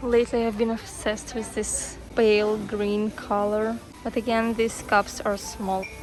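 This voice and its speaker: A woman's fairly high, flat, monotone voice at a fairly slow pace, with music in the background. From Ukraine. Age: 20s. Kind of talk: casual vlog talk to camera.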